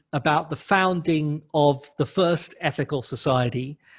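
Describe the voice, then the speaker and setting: A man with a London accent speaks at a fairly high pitch with ordinary pitch variation against a quiet background. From London, England. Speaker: humanist clergy leader. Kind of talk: lecture.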